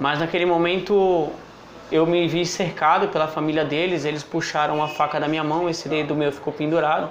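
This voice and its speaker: A man speaks at a moderate pace and fairly high pitch with monotone, flat intonation. Audible room echo and light background noise are present. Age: 20s. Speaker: recovering drug addict. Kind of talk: testimony. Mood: serious, reflective. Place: home room. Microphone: lapel.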